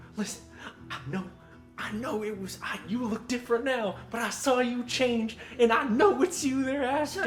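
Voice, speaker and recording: A put-on character voice at a fairly high pitch moves at a moderate pace over clear background music. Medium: actual play. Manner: hurried, urgent.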